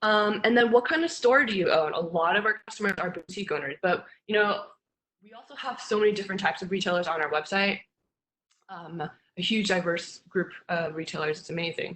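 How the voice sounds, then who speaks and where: Her loudness swinging widely, a woman talks at a fairly quick pace and a medium pitch with ordinary pitch variation. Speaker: marketing team member presenting a webinar. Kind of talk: webinar tutorial. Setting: live streamed webinar. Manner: fast.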